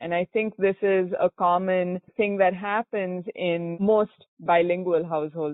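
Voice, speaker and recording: With a Goan accent, a woman speaks at a fairly slow pace in a monotone, flat intonation. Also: medium pitch for a woman. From India, Bangalore. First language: Konkani. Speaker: entrepreneur. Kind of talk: interview.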